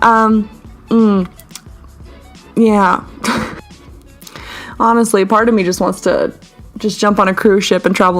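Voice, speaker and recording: A woman at medium pitch and moderate pace, with music in the background. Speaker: artist. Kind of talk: casual voiceover over art timelapse. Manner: casual, rambling.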